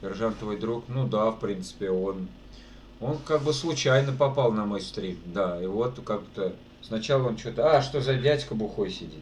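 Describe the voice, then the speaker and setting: Audible room echo hangs on the voice. This man takes his words rather slowly. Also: medium pitch for a man, ordinary pitch variation. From Russia, Saratov region. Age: 30s. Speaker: streamer and amateur guitarist. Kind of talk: casual live stream chat. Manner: casual, colloquial.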